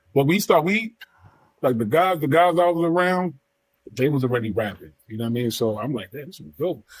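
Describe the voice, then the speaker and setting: Talking at a fairly quick pace in a New York accent, a man uses a fairly high pitch, lively intonation, and big swings in loudness. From New York, Bronx then Long Island. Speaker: rapper. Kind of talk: casual chat.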